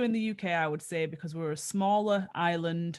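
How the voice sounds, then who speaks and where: A woman's fairly low-pitched voice in a northern English accent, fairly quick in pace with ordinary pitch variation, over a quiet background. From northern England. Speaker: actor. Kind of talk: interview.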